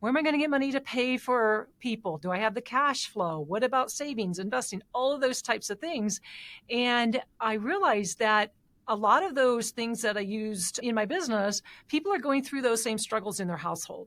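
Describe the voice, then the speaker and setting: A woman with an Indiana accent talks at a fairly quick pace in a fairly high pitch. Her intonation is lively, and the recording is very clean with a silent background. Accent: Indiana (Hoosier). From Indiana, Fort Wayne area. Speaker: financial advisor, podcast co-host. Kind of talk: casual podcast conversation.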